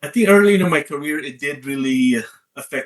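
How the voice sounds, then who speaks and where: With a Filipino accent, a man speaks at a fairly quick pace with lively intonation. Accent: Filipino accent, kept. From Philippines. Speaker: leadership coach and author. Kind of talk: interview.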